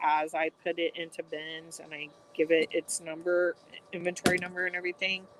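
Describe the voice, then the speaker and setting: A mumbling woman with a fairly low pitch and a fairly slow pace. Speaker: online reseller. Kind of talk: casual livestream chat while folding. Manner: monotone.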